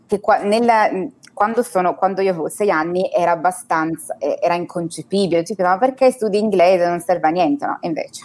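A woman's medium-pitched, an ordinary speaking voice at a fairly quick pace, with ordinary pitch variation. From Turin, northern Italy. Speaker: expat guest. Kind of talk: interview, casual chat.

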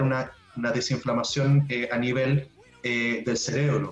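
A man at a medium pitch talks in a flat monotone over noticeable background noise. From southern Chile (Puerto Montt). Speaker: pharmaceutical science researcher. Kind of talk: casual interview.

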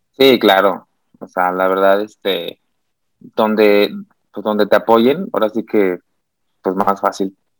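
Dry and close with no echo, a man's voice moves at a very slow pace with fairly even intonation and long, frequent pauses. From Mexico, San Luis Potosí. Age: 30s. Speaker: Olympic swimmer. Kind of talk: interview. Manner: halting.

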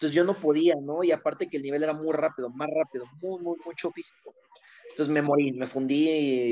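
This man talks at a very fast pace in a fairly high pitch with ordinary pitch variation. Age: 20s. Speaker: former youth footballer. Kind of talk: casual interview chat.

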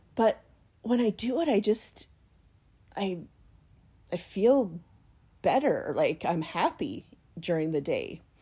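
A woman's somewhat breathy, dark and mellow voice at a fairly high pitch, with very wide pitch swings, a very slow pace and long, frequent pauses. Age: 40s. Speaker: podcaster. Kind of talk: casual monologue. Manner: hesitant, many fillers.

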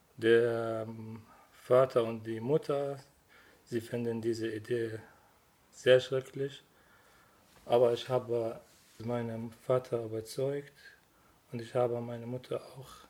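Speaking at a very slow pace with long, frequent pauses, a man holds a medium pitch in a monotone, flat delivery. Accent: Arabic. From Syria. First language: Arabic (speaking German). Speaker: refugee. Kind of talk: testimony. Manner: halting.

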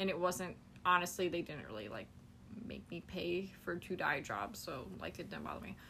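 A woman with a fairly low pitch talks at a moderate pace, her tone bright and sharp with vocal fry. Echo from the room can be heard. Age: 20s. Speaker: podcast co-host. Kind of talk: casual chat.

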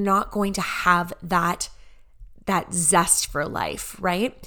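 Loud and animated, a woman speaks with a bright, sharp tone. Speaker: podcast host and business coach. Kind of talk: solo podcast monologue.

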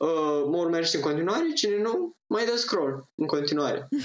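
A man speaks at a fairly slow pace with a Moldavian accent. His intonation is lively. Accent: Moldavian Romanian. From Moldavia region, Romania (Roman). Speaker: blogger and amateur actor. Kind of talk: casual chat.

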